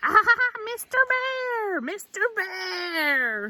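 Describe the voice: A female-sounding voice in a put-on character voice sounds squeaky and shrill at an extremely high pitch.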